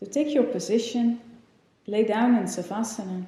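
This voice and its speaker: A woman speaks in a calm tone at a fairly high pitch, somewhat breathy. Her intonation is lively. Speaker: yoga teacher. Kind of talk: guided meditation. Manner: slow, calm.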